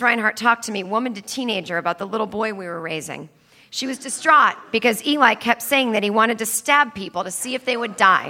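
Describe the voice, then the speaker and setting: A woman talks very fast in an American accent, with a fairly high pitch and ordinary pitch variation. Her loudness swings widely, and background noise is noticeable. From Needham, Massachusetts. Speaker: stand-up comedian and author. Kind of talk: interview and advice banter. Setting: theater stage with audience.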